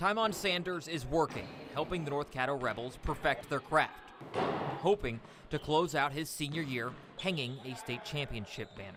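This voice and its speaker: Through noticeable background noise, a man speaks at a moderate pace with a fairly high pitch and lively intonation. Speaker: sports reporter. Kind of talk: TV news sports package narration.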